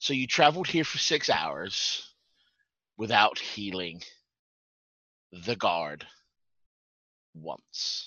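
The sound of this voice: In a put-on character voice, a man speaks at a fairly low pitch and a very slow pace. Long, frequent pauses break up his lines.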